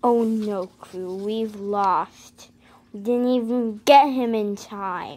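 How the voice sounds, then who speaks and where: This is a cartoonish character voice that sounds female. It has a fairly high pitch and a very slow pace. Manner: anxious, bickering.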